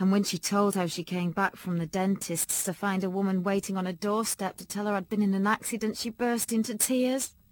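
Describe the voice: Fairly even intonation shapes this plain reading aloud.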